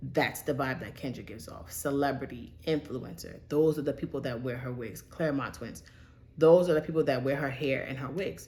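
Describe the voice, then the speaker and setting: A woman's very deep, low, dark, mellow voice with vocal fry, ordinary pitch variation, big swings in loudness and a fairly quick pace. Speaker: business coach and wig seller. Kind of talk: tutorial.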